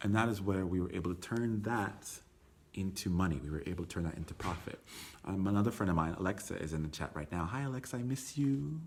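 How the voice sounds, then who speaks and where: In a very deep, low voice, a man talks very fast with an animated tone and lively intonation. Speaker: tour company owner giving business talk. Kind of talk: live stream talk. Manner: loud.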